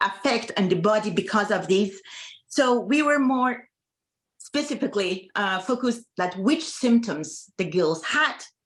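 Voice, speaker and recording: A fairly high-pitched woman with an Iranian accent, lively intonation and a fairly slow pace. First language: Farsi. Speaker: medical doctor. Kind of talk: panel presentation. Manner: halting.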